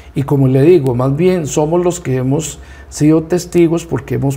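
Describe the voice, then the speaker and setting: Against noticeable background noise, a man with a fairly high pitch speaks at a moderate pace with fairly even intonation. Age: 60s. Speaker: rural community leader. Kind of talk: TV interview.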